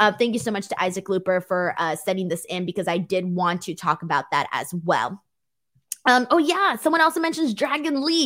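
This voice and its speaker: With a Southern California accent, a woman talks at a fairly quick pace in an animated tone with very wide pitch swings. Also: medium pitch for a woman. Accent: Valley girl. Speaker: pro wrestling podcast host. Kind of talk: casual show recap with live chat. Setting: live stream.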